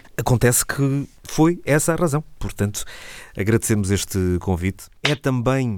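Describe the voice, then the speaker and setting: In an unremarkable speaking voice, a man of medium pitch talks at a fairly slow pace with lively intonation and very even loudness, on a very clean recording with a silent background. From Portugal, Alentejo (Santiago do Cacém). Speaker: radio host. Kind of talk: casual chat.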